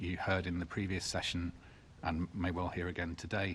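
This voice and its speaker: Against a quiet background, a man speaks at a moderate pace in a very deep, low voice. His intonation is monotone and flat, and he sounds somewhat breathy. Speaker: witness at committee hearing. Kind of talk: committee testimony. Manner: hesitant, many fillers. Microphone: too far from the mic.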